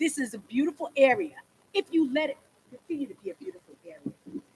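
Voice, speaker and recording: This woman talks at a very fast pace, her tone animated and her intonation lively. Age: 60s. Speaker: local resident speaking at public hearing. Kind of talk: public comment.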